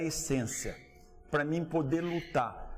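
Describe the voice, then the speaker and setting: A man's fairly high voice comes through at a fairly slow pace. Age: 50s. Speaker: cattle rancher. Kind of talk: interview. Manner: animated.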